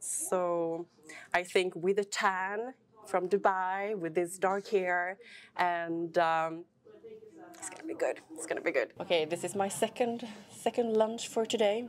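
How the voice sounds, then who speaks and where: A woman with a Swedish accent talks at a fairly slow pace and medium pitch over light background noise. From Sweden. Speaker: vlogger and fitness trainer; fitness vlogger. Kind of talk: vlog. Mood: relaxed, cheerful. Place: cafe. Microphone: lapel.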